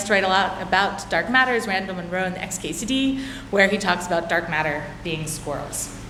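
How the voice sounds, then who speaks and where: A woman with an American accent speaks with lively intonation, with audible room echo and noticeable background noise. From United States. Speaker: physicist. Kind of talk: conference talk. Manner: filler words, some restarts.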